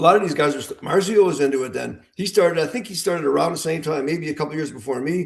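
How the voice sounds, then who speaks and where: Vocal fry marks this man's fairly high-pitched voice, which has ordinary pitch variation. He talks at a very fast pace with hardly any pauses. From US Midwest, Illinois. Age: 60s. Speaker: veteran armwrestler. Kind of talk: casual podcast chat.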